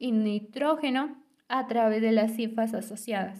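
A woman's fairly high voice in a central Mexican accent, at a fairly slow pace with fairly even intonation. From Mexico, State of Mexico (Temascalcingo). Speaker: university student. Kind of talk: scripted student podcast presentation. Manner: formal.

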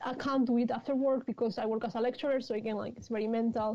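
With a Spanish accent, a woman speaks at a high pitch with fairly even intonation. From Spain, Madrid. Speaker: novelist. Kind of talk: interview.

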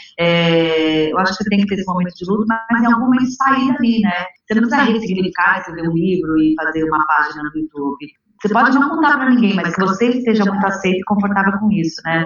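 Her pace is very fast and her pitch medium. This woman's intonation is lively. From São Paulo, Brazil. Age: 30s. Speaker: activist and author. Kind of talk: interview conversation.

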